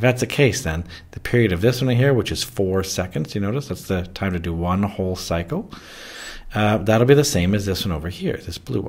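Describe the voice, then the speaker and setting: A man's ordinary speaking voice, an ordinary speaking voice, fairly low in pitch, at a fairly quick pace with lively intonation. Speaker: physics teacher. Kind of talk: tutorial.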